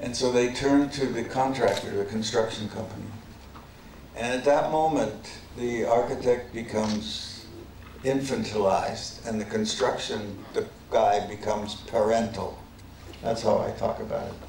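A man speaks at a moderate pace with fairly even intonation. There is audible room echo and light background noise. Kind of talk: lecture. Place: hall. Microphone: podium.

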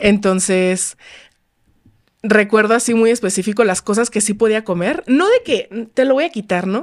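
Against a quiet background, a woman talks at a fairly slow pace and a medium pitch with ordinary pitch variation. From Mexico, Los Cabos (Baja California Sur); Baja California Sur, Mexico. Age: 20s. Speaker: lifestyle content creator. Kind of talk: casual interview. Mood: reflective, personal story. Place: studio. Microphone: studio mic.

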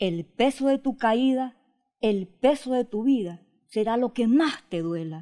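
A woman's dark, mellow voice at a very slow pace, lively in intonation, over a quiet background. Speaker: poet. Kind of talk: interview with poem reading. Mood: expressive, emphatic recitation. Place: home room. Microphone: handheld.

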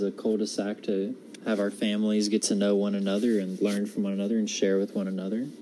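With an American accent, a man rushes along at a very fast pace with hardly any pauses, his fairly low pitch kept in a monotone, flat intonation. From US South (North Carolina). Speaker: college student. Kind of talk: personal monologue for class assignment. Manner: halting, many fillers.

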